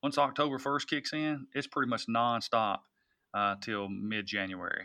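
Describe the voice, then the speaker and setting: Against a quiet background, a man with a Tennessee accent and a bright, sharp tone speaks at a fairly slow pace, at medium pitch with ordinary pitch variation. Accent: US Southern (Tennessee). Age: 40s. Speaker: hunting industry executive and farmer. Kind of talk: interview conversation. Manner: hesitant, many fillers and repetitions.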